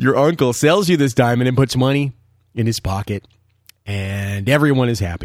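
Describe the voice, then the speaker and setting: A man's medium-pitched voice, animated in tone with lively intonation, at a moderate pace, on a very clean recording with a silent background. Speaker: diamond expert podcast host. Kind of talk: angry rant. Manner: cranky, animated.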